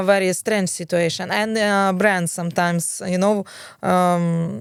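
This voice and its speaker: A woman with a Ukrainian accent at a fairly slow pace, her intonation fairly even. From Ukraine. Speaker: fashion and PR professional. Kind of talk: interview answer.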